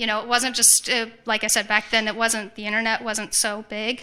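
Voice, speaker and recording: At a fairly quick pace, a woman talks with a fairly high pitch. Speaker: ex-Jehovah's Witness giving testimony. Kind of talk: testimony. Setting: conference stage with audience. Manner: fast; halting, many fillers and restarts.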